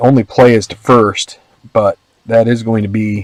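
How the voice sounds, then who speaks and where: In a normal speaking voice, a man talks at a medium pitch and a fairly slow pace with ordinary pitch variation, the sound dry and close with no echo. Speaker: tabletop baseball game host. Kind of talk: tabletop game play-by-play commentary.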